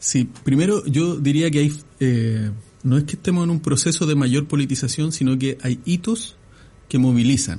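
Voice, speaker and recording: His voice is fairly high for a man, somewhat breathy and dark and mellow in tone, with ordinary pitch variation. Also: moderate pace. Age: 40s. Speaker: political analyst. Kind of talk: interview.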